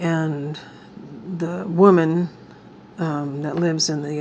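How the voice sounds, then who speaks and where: A woman with a very deep, low pitch. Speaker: crafting YouTuber. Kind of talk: casual craft tutorial chat. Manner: casual, meandering.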